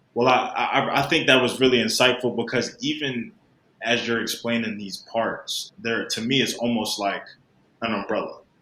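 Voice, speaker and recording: A man speaks at a medium pitch and a moderate pace in a bright, sharp tone. Audible room echo surrounds his voice. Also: fairly even intonation. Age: 20s. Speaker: podcast host. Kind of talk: interview.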